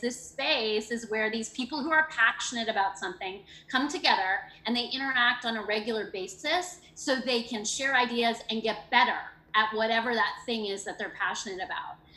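Noticeable background noise sits behind a woman with a fairly high voice. She speaks at a fairly quick pace with ordinary pitch variation. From Canada. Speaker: education program coordinator, former teacher. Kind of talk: interview.

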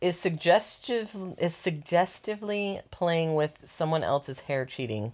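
Her pitch fairly low for a woman, she talks with lively intonation. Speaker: podcast co-host. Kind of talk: casual chat. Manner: fast, sometimes poorly enunciated.

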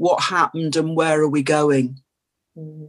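In a British accent, a woman speaks at a moderate pace. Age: 60s. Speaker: addiction and trauma therapist. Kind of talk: interview. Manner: hesitant, many fillers.

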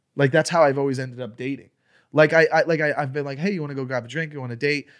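Very clean and silent in the background, this recording features a man with a plain, everyday voice and an American accent. His pitch is fairly high and his intonation fairly even. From Florida. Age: 30s. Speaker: comedian. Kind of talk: casual chat.

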